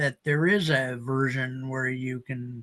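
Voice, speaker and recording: A man with an American accent and a bright, sharp tone. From US Midwest. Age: 70s. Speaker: podcast host. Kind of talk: casual chat.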